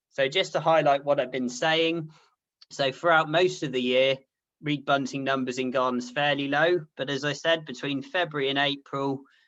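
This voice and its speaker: Against a quiet background, a man with a West Country accent talks at a moderate pace, his fairly high pitch held in fairly even intonation. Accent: Dorset. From southern England, Poole in Dorset. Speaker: ornithology researcher. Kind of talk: lecture.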